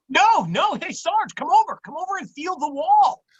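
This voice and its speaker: A put-on character voice is delivered at an extremely high pitch. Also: moderate pace. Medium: stage play. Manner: eager, stammering when flustered.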